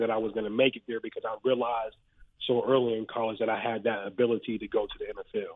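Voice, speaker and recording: The speaker is a man. He talks very fast. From Western Pennsylvania, Ohio border. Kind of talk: casual interview.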